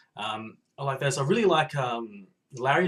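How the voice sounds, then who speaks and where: This man speaks with an Australian accent at a moderate pace. His voice is fairly high and somewhat breathy. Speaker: podcast listener giving video response. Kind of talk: casual video monologue. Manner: hesitant, many fillers.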